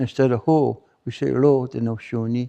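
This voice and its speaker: The delivery is fairly slow, with fairly even intonation and a dark, mellow tone. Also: man. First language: Mohawk. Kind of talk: public talk. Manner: halting, with repetitions.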